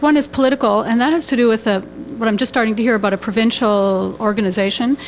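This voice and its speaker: Noticeable background noise sits behind a woman speaking at a very fast pace. Her pitch is fairly high, with ordinary variation. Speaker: restorative justice practitioner. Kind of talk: forum Q&A comment. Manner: shaky voice.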